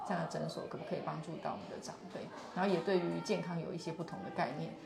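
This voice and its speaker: Against noticeable background noise and audible room echo, a woman speaks at a fairly low pitch. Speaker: physician, neurology and geriatric medicine. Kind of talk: on-site interview, explaining her clinic. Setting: live stream on location at a clinic.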